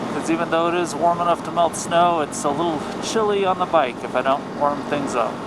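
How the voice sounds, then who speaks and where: Through noticeable background noise, a man speaks fairly quickly in a high pitch with ordinary pitch variation. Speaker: motorcycle vlogger. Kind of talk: casual narration while riding. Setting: outdoors on a motorcycle.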